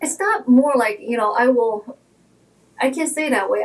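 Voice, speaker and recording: A woman at a fairly quick pace, ordinary pitch variation, and noticeable background noise. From China, Shanghai. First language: Shanghainese / Mandarin Chinese. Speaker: realtor. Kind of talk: interview.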